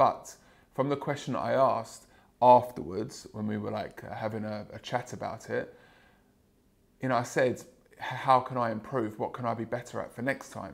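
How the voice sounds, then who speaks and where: A man at medium pitch and a moderate pace, with vocal fry, fairly even intonation, and long, frequent pauses. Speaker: sales trainer and podcast host; sales trainer, podcast host. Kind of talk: solo podcast monologue. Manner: loud, projecting. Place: home room. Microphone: lapel.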